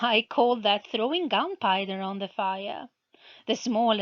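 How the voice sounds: Spoken in a natural reading voice with ordinary pitch variation, the clip has a quiet background.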